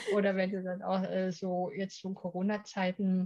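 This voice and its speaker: A woman speaks at a medium pitch with a dark, mellow tone and a somewhat breathy quality. Her intonation is monotone and flat. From East Germany. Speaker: image and etiquette consultant. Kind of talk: interview. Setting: studio.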